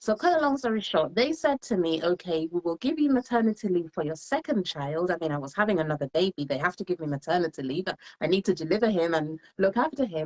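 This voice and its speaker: A woman with a slight English accent speaks at a very fast pace with hardly any pauses. Her fairly low voice has very wide pitch swings. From England. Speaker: solicitor and home business entrepreneur. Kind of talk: live interview, personal story. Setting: Facebook live stream.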